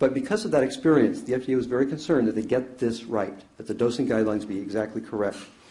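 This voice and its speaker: A man talks very fast with hardly any pauses, in a dark, mellow voice at medium pitch. His pitch varies in an ordinary way, and the room echo is audible. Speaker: expert witness, anesthesiologist. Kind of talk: courtroom testimony. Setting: courtroom.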